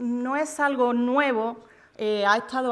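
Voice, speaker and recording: Her pitch is fairly high for a woman. The intonation stays fairly even. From Córdoba, Andalusia, Spain. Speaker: EU official, panel speaker. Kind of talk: conference talk. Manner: halting, frequent fillers.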